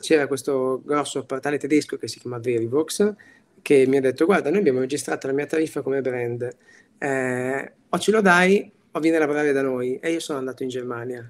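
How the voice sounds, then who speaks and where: A man talks fairly quickly in a fairly high register, his pitch rising and falling in an ordinary way. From Italy, Piacenza. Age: 30s. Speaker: tech executive. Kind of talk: interview. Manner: animated.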